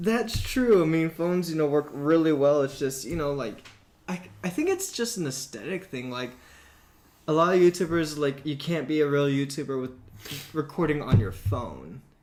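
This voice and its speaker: A man's fairly high voice, lively in intonation, keeps a moderate pace above noticeable background noise. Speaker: podcast co-host, military service member. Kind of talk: casual chat. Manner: loud.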